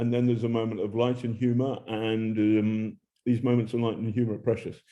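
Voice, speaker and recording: In an English accent, a man at a medium pitch speaks with monotone, flat intonation. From England. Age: old. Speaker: journalist. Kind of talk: interview.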